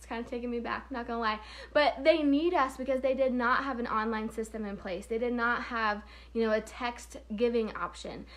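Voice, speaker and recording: A woman with an Oklahoma accent talks at a fairly quick pace in an animated tone. Her pitch is fairly high, with ordinary variation. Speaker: payment processing sales trainer. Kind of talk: casual live stream training.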